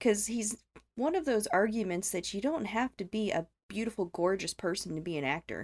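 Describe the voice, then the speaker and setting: With an American accent and a normal speaking voice, a woman talks at a moderate pace and medium pitch, her intonation lively, in a dry, close sound with no echo. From US South. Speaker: returning podcast guest. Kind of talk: casual chat.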